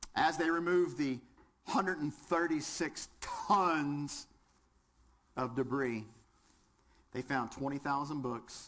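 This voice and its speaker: A man with a Southern US accent speaks at a very slow pace with long, frequent pauses. His pitch is fairly high. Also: ordinary pitch variation. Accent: southern twang. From West Virginia. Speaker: firefighter instructor. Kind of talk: lecture. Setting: classroom with audience, webcast.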